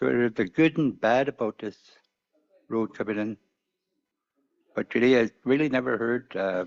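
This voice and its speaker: Dry, close sound with no echo frames a man's medium-pitched voice with ordinary pitch variation. He talks at a moderate pace with long, frequent pauses. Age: 60s. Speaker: community leader. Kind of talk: public testimony at community hearing.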